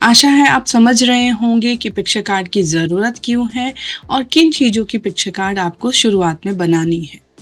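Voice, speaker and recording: A woman's fairly high voice with lively intonation and hardly any pauses, music in the background. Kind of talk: tutorial.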